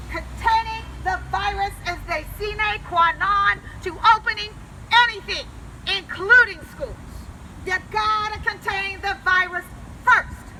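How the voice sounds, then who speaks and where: A woman speaks in a raised, projected voice at an extremely high pitch, with fairly even intonation and a fairly slow pace. Long, frequent pauses break up her speech over noticeable background noise. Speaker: congressional candidate. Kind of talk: public speech. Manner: loud; impassioned.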